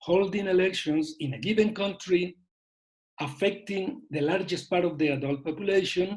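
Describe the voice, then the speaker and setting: A man speaks at a moderate pace in a high pitch, with ordinary pitch variation. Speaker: panelist on elections. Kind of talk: webinar presentation. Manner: halting.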